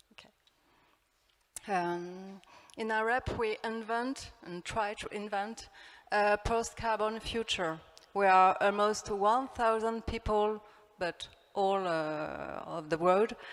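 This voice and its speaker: With a French accent, a woman of medium pitch speaks at a very slow pace, using fairly even intonation, big swings in loudness, and long, frequent pauses. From France. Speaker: architect. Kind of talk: conference talk. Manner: halting.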